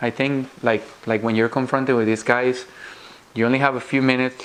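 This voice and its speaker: A man with a non-native accent speaks at a moderate pace in a monotone, flat way, with noticeable background noise. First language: not English. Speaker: physician giving interview tips to students. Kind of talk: lecture.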